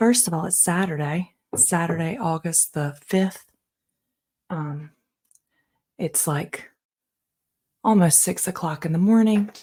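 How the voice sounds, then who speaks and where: A woman whispering, somewhat breathy, at a fairly slow pace with long, frequent pauses. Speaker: podcaster. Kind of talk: casual monologue. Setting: home, early morning. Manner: animated.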